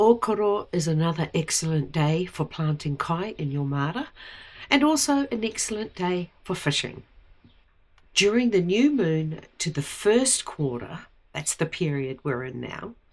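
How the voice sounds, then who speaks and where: Fairly slow speech from a woman with a New Zealand accent, fairly low pitch and very wide pitch swings. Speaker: gardening and lunar calendar vlogger. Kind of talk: tutorial.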